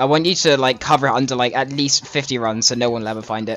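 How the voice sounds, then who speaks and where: There is noticeable background noise as a man with a British accent talks at a fairly quick pace. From Britain. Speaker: video game speedrunner and streamer. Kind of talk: live gameplay commentary. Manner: casual, rambling with fillers.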